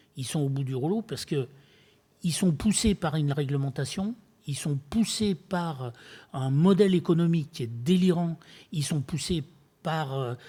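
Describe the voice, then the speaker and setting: Speaking at a fairly slow pace, a man with a fairly high pitch and a dark, mellow tone uses ordinary pitch variation. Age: 70s. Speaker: retired builder and eco-entrepreneur speaking at a public dialogue. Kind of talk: public talk to an audience. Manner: hesitant, many fillers and repetitions.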